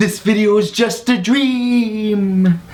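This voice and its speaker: A put-on character voice, fairly high in pitch, comes through over light background noise. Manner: spooky.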